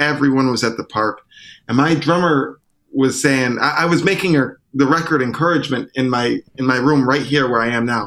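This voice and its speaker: A man with a plain, everyday voice, medium pitch, an American accent, moderate pace and ordinary pitch variation. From US Northeast (Syracuse, upstate New York). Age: 30s. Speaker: trumpeter and singer-songwriter. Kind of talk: casual interview chat.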